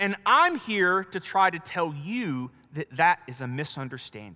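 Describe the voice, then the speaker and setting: A man with a Southern US accent speaks at a fairly slow pace and a high pitch. His tone is bright, sharp and animated, with very wide pitch swings. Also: big swings in loudness. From US South, North Carolina. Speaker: pastor. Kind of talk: sermon.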